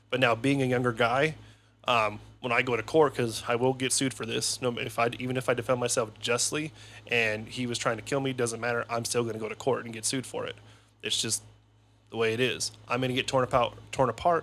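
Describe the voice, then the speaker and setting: The man talks at a fairly quick pace and a medium pitch. His intonation is monotone and flat. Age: 30s. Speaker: podcast guest. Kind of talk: casual chat. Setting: studio.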